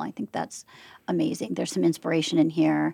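In a very clean recording with a silent background and a dry, close sound with no echo, a woman talks very fast with vocal fry. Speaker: podcast producer. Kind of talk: casual chat.

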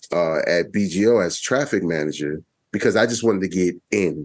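Very deep, low male speech, fairly slow, its pitch varying in an ordinary way. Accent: New York. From Brooklyn, New York. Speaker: public radio executive. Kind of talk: casual chat.

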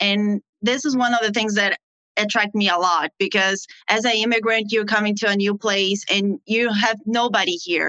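A woman with a Portuguese accent speaks at medium pitch and a moderate pace, with fairly even intonation. Her loudness is very even, and the sound is dry and close with no echo. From Brazil. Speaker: international nurse. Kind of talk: casual interview.

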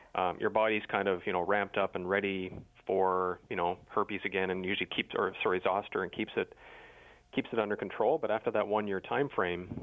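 A man's low pitch at a fairly quick pace, with fairly even intonation

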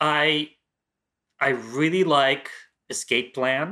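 A man with a fairly high, bright and sharp voice and an American accent, at a very slow pace. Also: very clean recording, silent background. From Washington DC area. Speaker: film critic. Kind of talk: casual chat.

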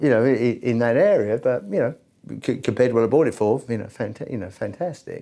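Speaking with an English accent, a man talks at a fairly quick pace and medium pitch with ordinary pitch variation. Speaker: entrepreneur in travel business development. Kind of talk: casual interview. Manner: hesitant, repeats words.

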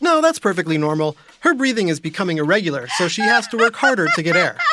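A man puts on a character voice, high-pitched with a bright, sharp tone. He speaks fast, and his pitch swings a lot.

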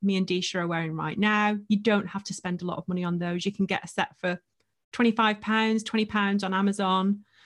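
On a very clean recording with a silent background, a woman with a plain, everyday voice speaks at a medium pitch and a moderate pace. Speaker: podcast coach and agency owner. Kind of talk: casual interview chat.

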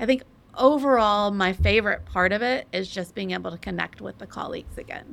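The recording is very clean, with a silent background. A woman with an American accent talks at a fairly quick pace. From Texas. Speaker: hotel interior designer. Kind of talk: casual interview. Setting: in person at company headquarters.

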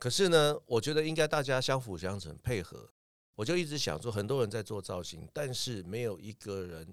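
A man's medium-pitched voice swings very widely in pitch as he talks at a moderate pace. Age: 50s. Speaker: music producer and academy principal. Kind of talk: interview.

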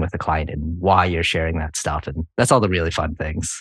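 With an American accent, a man speaks at a fairly quick pace in a very deep, low pitch. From New England (Connecticut). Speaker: architect and BIM consultant. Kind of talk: interview conversation.

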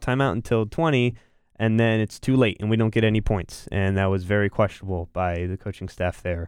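A man with an American accent talks at a moderate pace in a fairly low pitch, an ordinary speaking voice. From North Carolina, Raleigh area. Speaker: college sports podcast co-host. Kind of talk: casual chat.

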